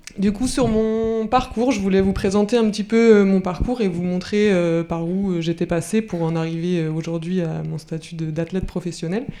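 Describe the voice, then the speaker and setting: Moderate-paced speech with ordinary pitch variation, over noticeable background noise. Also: woman. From France, Brittany (Rennes). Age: 30s. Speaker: professional athlete. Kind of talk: talk to school pupils. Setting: conference hall with audience. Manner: hesitant, many fillers.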